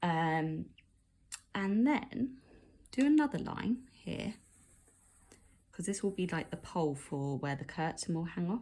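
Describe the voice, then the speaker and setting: Woman of medium pitch, dark and mellow in tone, somewhat breathy, with very wide pitch swings, a fairly slow pace and long, frequent pauses. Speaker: art teacher. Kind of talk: tutorial.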